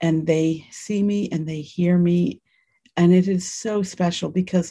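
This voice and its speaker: A dark, mellow, somewhat breathy voice at a fairly slow pace with fairly even intonation. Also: woman. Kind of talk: casual conversation. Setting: video call.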